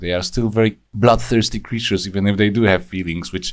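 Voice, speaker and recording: With a non-native accent, this man talks at a fairly quick pace, his voice very deep and low and edged with vocal fry. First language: Polish. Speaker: YouTube reviewer. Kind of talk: rant review. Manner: hesitant, frequent fillers.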